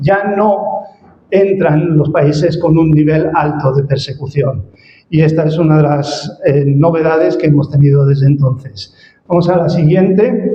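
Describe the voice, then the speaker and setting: Heard with audible room echo, a man talks at a fairly slow pace with fairly high pitch, ordinary pitch variation and very even loudness. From Spain. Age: 60s. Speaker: ministry director, guest speaker. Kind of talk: church presentation. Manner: hesitant, many fillers.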